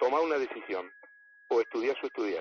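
Here a man talks at a very fast pace. He speaks with a Rioplatense accent. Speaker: astronomer. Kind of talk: interview.

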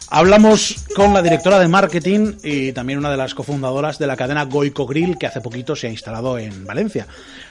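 Over noticeable background noise, a man with a fairly high pitch and lively intonation talks with hardly any pauses. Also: fairly quick pace. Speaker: radio host. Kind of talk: casual chat. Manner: animated.

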